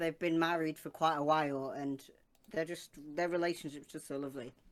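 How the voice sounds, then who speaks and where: Her voice is very deep and low for a woman, with fairly even intonation. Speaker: co-host. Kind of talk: casual chat. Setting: video call, live stream.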